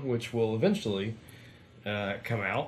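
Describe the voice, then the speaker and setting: Light background noise is present. Under it, a man speaks at a moderate pace. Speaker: channel host. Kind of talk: casual review chat. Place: home room. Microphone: camera far.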